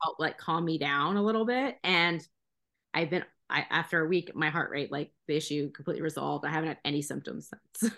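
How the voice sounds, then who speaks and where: A woman speaks at a fairly quick pace with a very deep, low pitch, vocal fry and a bright, sharp tone. Her pitch variation is ordinary, and the background is quiet. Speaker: CBD advocate, mother. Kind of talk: casual interview chat.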